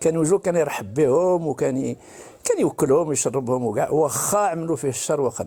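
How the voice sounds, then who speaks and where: The speech moves at a fairly quick pace with ordinary pitch variation. Noticeable background noise can be heard. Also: man, fairly high pitch for a man. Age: 70s. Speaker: caller. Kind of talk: testimony.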